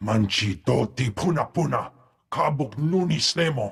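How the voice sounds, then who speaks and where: Putting on a growling character voice, a man speaks at a moderate pace with a fairly high pitch. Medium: video game.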